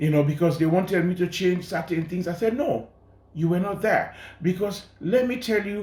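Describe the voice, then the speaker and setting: With lively intonation, a man talks in a room with audible echo. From Sierra Leone. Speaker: journalist and documentary filmmaker. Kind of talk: interview.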